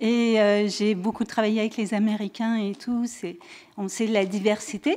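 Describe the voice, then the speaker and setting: Speaking fairly slowly in a fairly high pitch, a woman with a slight French-Canadian accent is heard over noticeable background noise. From French Canada. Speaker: audience member asking a question. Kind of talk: audience question. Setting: conference room with audience. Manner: halting.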